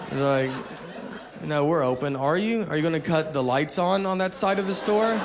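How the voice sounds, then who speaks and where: Over crowd noise in the background, a man with an American accent speaks at a fairly high pitch and a moderate pace, with ordinary pitch variation and very even loudness. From Tennessee, USA. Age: 30s. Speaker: stand-up comedian. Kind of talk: stand-up comedy routine.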